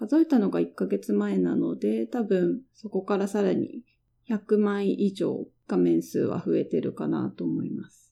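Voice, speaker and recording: A woman speaks at a fairly slow pace with big swings in loudness. The background is quiet. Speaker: designer and podcast host. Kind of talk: solo monologue podcast.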